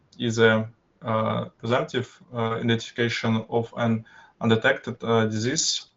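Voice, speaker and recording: With a Russian accent, a man speaks at a fairly slow pace in a medium pitch with monotone, flat intonation. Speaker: university student. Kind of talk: student project presentation. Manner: halting, many filler sounds.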